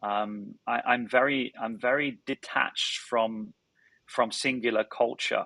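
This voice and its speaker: A man with a British accent speaks at a medium pitch. His tone is bright and sharp, his intonation fairly even. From northern England. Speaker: tech startup founder and CEO. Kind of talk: podcast interview. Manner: halting, many repeated words.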